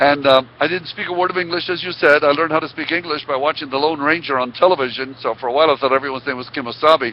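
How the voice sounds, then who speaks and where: Over noticeable background noise, a man with an Israeli accent speaks very fast with hardly any pauses, at a fairly high pitch and with fairly even intonation. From Israel, then Oklahoma from age 9. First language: Hebrew. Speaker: motivational speaker. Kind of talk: interview storytelling.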